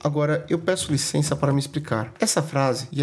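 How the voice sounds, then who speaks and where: A man with a Brazilian accent talks at a fairly quick pace. His fairly high voice keeps a fairly even intonation. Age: 30s. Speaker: podcast host. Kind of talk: podcast monologue.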